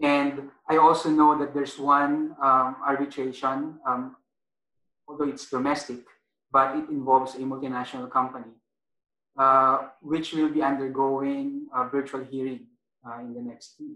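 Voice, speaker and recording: A man speaks with monotone, flat intonation and big swings in loudness, with audible room echo. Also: fairly high pitch for a man, moderate pace. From Philippines. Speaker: arbitration lawyer. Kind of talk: webinar panel discussion. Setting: video call. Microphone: video call.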